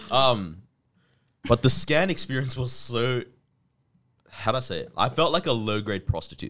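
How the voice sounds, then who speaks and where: This man has an ordinary speaking voice at medium pitch. He keeps a moderate pace with lively intonation. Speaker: podcast host. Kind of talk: casual chat.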